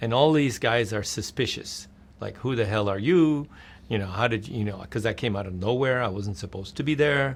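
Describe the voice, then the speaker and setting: This man talks with an American accent at a medium pitch. He moves at a fairly quick pace with ordinary pitch variation. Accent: sounds American. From Netherlands, then New York City. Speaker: game publisher. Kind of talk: interview anecdote. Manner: animated storytelling; plain simple English.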